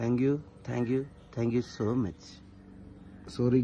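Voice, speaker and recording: A man's voice comes through, somewhat breathy and dark and mellow in tone. There is light background noise. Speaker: truck owner reacting to a news article. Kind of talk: casual reaction talk to camera. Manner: joking, playful. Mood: joking, mock complaining. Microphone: phone near.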